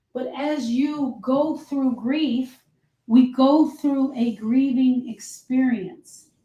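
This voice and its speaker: The pace is very slow. The tone is dark and mellow. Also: woman, high pitch for a woman. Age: 60s. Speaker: grief specialist. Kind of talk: live stream talk. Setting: live video stream.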